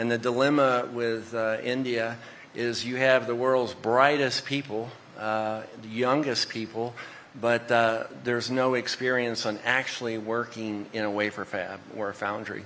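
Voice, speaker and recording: Against noticeable background noise, a man speaks fairly slowly in a medium pitch with monotone, flat intonation. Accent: Texan. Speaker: semiconductor executive. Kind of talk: panel discussion.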